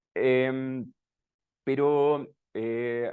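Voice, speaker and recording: Speaking in a Chilean accent, a man at a medium pitch keeps a monotone, flat intonation. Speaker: researcher. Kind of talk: lecture. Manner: hesitant, many fillers.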